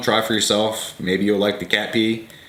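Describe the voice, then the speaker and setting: A man speaks with a fairly low pitch. Noticeable background noise and audible room echo surround him. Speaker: fragrance reviewer. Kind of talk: casual product review.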